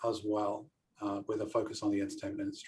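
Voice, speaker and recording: A man with a British accent. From United Kingdom. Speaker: event production company owner and safety trainer. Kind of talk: panel self-introduction. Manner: hesitant, many fillers.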